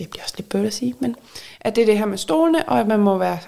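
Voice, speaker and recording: A woman's medium-pitched voice with a dark, mellow tone and very wide pitch swings. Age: 30s. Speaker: podcast co-host, reality TV fan. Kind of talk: casual chat.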